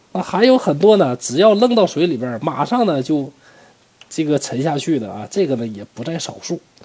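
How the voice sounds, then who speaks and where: A man with a fairly high voice talks at a moderate pace, his pitch swinging very widely and his loudness shifting a lot. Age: middle-aged. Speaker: history storyteller podcaster. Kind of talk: storytelling narration. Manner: casual, many filler particles.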